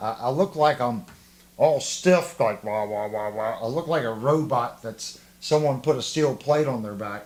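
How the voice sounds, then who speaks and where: Speaking at a moderate pace with a slight Southern US accent, a man uses lively intonation in a fairly high pitch. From US South. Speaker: guitar livestream host, guitar tech. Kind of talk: casual livestream chat.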